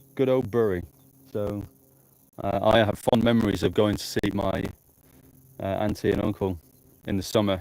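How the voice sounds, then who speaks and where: A man with a northern English accent speaks at a moderate pace. His fairly low voice keeps a fairly even intonation. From northern England, Blackpool. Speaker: amateur storm chaser livestreamer. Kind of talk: live outdoor commentary. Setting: outdoors in the countryside. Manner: casual, hesitant with fillers.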